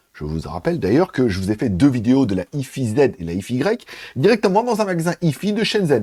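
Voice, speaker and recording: A man speaks at a fairly quick pace with a medium pitch and a dark, mellow tone. His pitch swings very widely, and the sound is dry and close with no echo. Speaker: tech news youtuber. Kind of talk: news commentary. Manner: casual.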